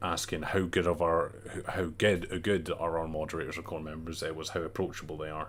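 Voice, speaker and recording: In a strong Scottish accent, a man with a very deep, low pitch speaks at a moderate pace in a flat monotone. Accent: thicker Scottish. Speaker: gaming community leader presenting survey results. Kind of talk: casual livestream talk. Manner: hesitant, many fillers.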